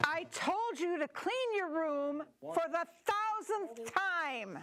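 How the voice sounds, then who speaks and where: The speaker uses a put-on character voice with an extremely high pitch. The pace is very slow. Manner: nagging, exasperated.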